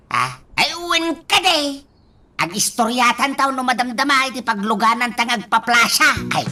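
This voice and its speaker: A put-on character voice with a fairly high pitch moves along at a moderate pace. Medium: audio drama. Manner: exclaims 'ay, nawaw' often.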